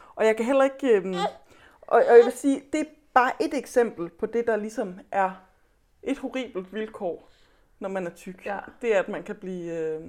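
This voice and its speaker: The voice has lively intonation and a moderate pace. Long, frequent pauses and big swings in loudness run through it. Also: woman. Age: 30s. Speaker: author. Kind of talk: casual chat. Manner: halting.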